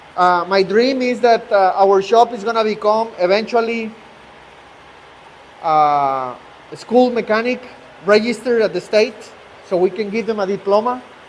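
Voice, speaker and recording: With a Mexican accent, a man talks at a moderate pace in a high voice, his pitch varying in an ordinary way. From Mexico. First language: Spanish. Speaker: truck repair shop owner. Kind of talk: live-stream shop tour. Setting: outdoors at a truck shop, rainy day. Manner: halting, with repetitions and fillers.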